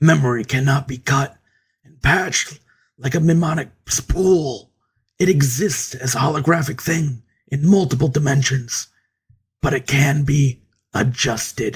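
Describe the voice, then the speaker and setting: A man puts on a raspy character voice at a fairly high pitch. His pace is moderate, with long, frequent pauses and big swings in loudness. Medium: read story. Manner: measured, grave.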